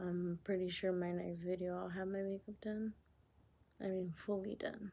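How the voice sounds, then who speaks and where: A woman speaks softly at a medium pitch. Her intonation stays flat and monotone. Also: moderate pace. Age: 20s. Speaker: vlogger. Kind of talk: casual chat. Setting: home at night. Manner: soft-spoken.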